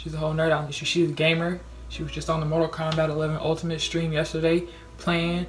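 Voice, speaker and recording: Talking at a very fast pace, a woman uses a very deep, low pitch with monotone, flat intonation. Noticeable background noise and audible room echo fill the recording. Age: young. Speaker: vlogger. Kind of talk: casual vlog monologue. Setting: dorm room. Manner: loud.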